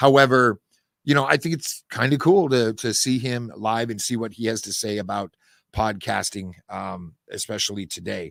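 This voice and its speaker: This man talks at a moderate pace and a medium pitch with ordinary pitch variation, in a plain, everyday voice. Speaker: podcast network founder and host. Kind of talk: weekly update monologue. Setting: podcast studio.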